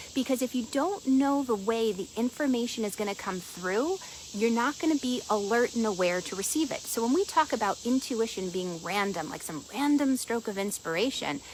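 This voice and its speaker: A woman speaks with lively intonation at a fairly high pitch. Noticeable background noise sits behind her. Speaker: energy and intuition coach, show host. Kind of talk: casual teaching talk to live audience. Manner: fast; animated.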